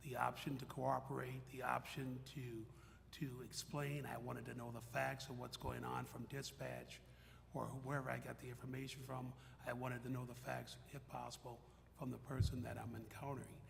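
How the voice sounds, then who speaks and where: Audible room echo and noticeable background noise surround words delivered at a moderate pace. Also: man. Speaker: retired police officer and corrections head. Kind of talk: panel discussion. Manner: loud.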